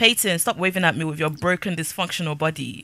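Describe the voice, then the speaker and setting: A woman's voice comes across with a bright, sharp tone and an animated tone. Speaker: gaming youtuber. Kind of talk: let's play commentary. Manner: casual, chatty.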